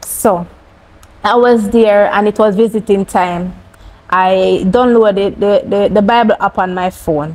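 A woman with a Jamaican accent speaks at a fairly slow pace, her intonation fairly even and her loudness very even. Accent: Jamaican English with patois. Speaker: cancer survivor; interview guest. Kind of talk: testimony. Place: studio.

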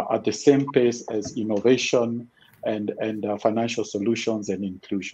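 The man speaks at a medium speed. His voice has a dark, mellow tone. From Kenya. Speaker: financial inclusion expert; panelist. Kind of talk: panel discussion. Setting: online webinar. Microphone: video call.

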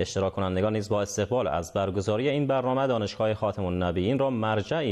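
Man with a fairly low pitch, lively intonation and a fairly quick pace, against a quiet background. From Afghanistan. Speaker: news anchor. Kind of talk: news reading. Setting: studio. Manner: formal. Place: studio. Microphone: lapel.

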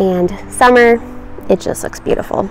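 Music plays behind a woman speaking at a very slow pace with ordinary pitch variation. The sound is dry, with no echo. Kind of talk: casual vlog chat. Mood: cheerful, enthusiastic. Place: garden.

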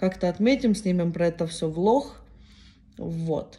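A woman speaks at a fairly slow pace with lively intonation, her voice somewhat breathy and dark, mellow in tone, over a quiet background. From Ukraine. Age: 20s. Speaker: vlogger. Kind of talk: casual vlog monologue. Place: home room. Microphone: phone near.

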